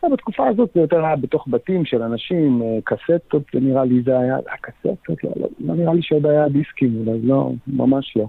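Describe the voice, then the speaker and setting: At a moderate pace, a man with an ordinary speaking voice talks at a fairly high pitch, with ordinary pitch variation and very even loudness. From Israel, Haifa Krayot. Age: 40s. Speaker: trance music artist. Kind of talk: casual interview. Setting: remote call from home quarantine.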